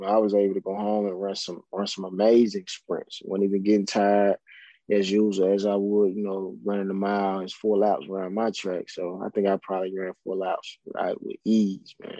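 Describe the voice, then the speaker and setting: Against a quiet background, a man with a Southern US accent speaks in a flat monotone at a fairly low pitch, his tone dark and mellow and the sound dry and close with no echo. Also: moderate pace. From Mississippi (Indianola). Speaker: professional football player. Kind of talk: casual interview.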